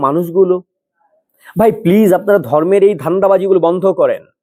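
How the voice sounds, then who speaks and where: This man speaks at a high pitch with a dark, mellow tone, recorded with a dry, close sound and no echo. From Bangladesh. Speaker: political commentator. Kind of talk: opinion monologue. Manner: impassioned.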